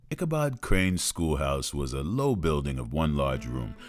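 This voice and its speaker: With music in the background, a man speaks at a moderate pace with very wide pitch swings. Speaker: narrator. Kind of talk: storytelling narration.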